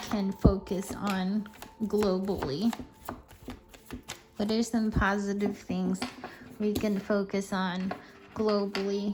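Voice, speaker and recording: Over noticeable background noise, a woman speaks at a very slow pace. Her medium-pitched voice holds a fairly even intonation. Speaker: tarot reader. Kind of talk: casual monologue to camera. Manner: halting, self-correcting.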